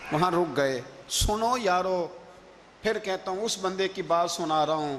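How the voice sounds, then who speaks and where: A man talks with ordinary pitch variation. Noticeable background noise sits behind him. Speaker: Islamic scholar and orator giving a religious sermon. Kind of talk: religious sermon / storytelling lecture. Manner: emotional, passionate, dramatic storytelling.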